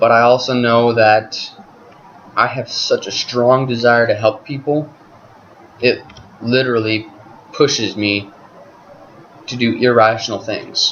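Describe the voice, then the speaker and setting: A man talks at a fairly slow pace in a monotone, flat intonation. Noticeable background noise sits behind him. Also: medium pitch for a man. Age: 20s. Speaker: vlogger. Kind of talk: webcam monologue. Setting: talking to webcam at home. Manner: halting, with pauses.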